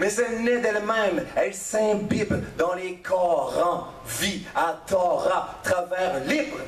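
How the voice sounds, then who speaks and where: Against noticeable background noise, a man talks at a very slow pace with lively intonation. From Quebec. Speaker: slam poet and storyteller. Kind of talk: slam poetry performance. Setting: live stage.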